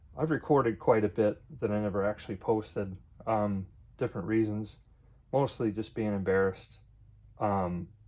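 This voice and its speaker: A mumbling man, fairly low in pitch, with long, frequent pauses over a quiet background. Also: ordinary pitch variation, moderate pace. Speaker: DIY hobbyist vlogger. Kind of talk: casual DIY tutorial. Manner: hesitant, many fillers.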